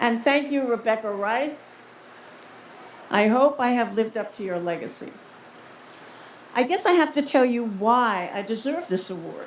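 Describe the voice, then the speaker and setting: Against noticeable background noise, a woman with a fairly high pitch speaks at a moderate pace, using lively intonation and long, frequent pauses. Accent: American. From New York City, the Bronx. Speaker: film director and award recipient. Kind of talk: award acceptance speech. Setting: stage with dinner audience. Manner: animated.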